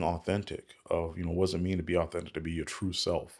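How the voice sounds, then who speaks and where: The recording is very clean, with a silent background. A man speaks at a very deep, low pitch. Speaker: startup lawyer and podcaster. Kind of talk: solo casual monologue. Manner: casual, reflective, conversational.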